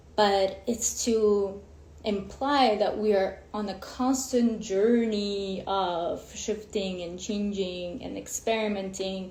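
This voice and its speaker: With audible room echo around her, a woman of medium pitch talks at a very slow pace using fairly even intonation. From Ukraine. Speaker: women's coach. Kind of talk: live stream talk. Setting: Instagram live.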